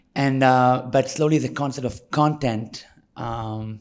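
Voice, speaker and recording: A man speaks at a fairly slow pace with an Israeli accent. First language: Hebrew. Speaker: tour guide and field educator. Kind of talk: interview.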